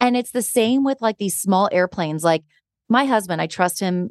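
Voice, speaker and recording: Over a quiet background, a woman uses a plain, everyday voice at medium pitch, talking at a fairly quick pace with lively intonation. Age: 40s. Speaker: podcast host. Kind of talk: casual chat.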